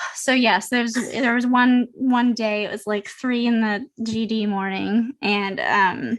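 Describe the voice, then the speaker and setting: A woman talks at a very slow pace with hardly any pauses. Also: fairly high pitch for a woman. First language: bilingual French (fluent). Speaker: podcast co-host. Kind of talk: casual chat. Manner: animated.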